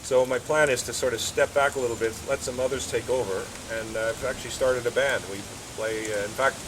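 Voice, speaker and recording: Noticeable background noise sits behind a man talking at a fairly quick pace. His pitch is medium and his intonation fairly even. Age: 60s. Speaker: karate instructor. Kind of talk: interview. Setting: outdoors at his house garden.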